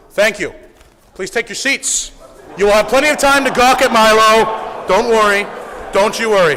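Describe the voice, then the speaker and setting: Amid noticeable background noise, a man with a high pitch uses a raised, projected voice at a moderate pace, with ordinary pitch variation and long, frequent pauses. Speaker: student club organizer introducing speaker. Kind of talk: event introduction speech. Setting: stage with audience. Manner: loud.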